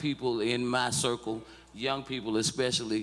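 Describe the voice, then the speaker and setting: A man with a Mississippi accent, music in the background. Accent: US Southern (Mississippi). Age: 60s. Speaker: civil rights activist. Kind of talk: testimony. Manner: halting, repetitive.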